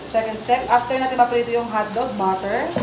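There's noticeable background noise as a woman speaks at a high pitch. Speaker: home cook vlogger. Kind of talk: casual cooking tutorial chat. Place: kitchen. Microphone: phone near.

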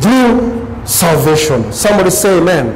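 A man speaks at a moderate pace with a high pitch and lively intonation. Noticeable background noise runs under his voice. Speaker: preacher. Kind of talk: sermon. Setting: church. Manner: emphatic, repetitive rhetorical build-up; calls for congregation responses. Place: studio.

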